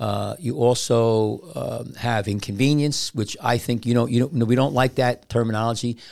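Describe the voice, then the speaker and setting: The man has a normal speaking voice at a medium pitch, with ordinary pitch variation and hardly any pauses. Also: moderate pace. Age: 60s. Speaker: surgeon and podcast host. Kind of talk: casual chat. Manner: rambling, frequently interrupts.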